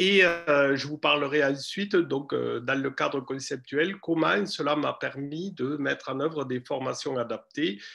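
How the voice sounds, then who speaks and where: Speaking at a very slow pace, a man with a slight southern French accent has a bright, sharp tone, a fairly high pitch and ordinary pitch variation. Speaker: university lecturer and researcher. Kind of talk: lecture. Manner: hesitant, many fillers.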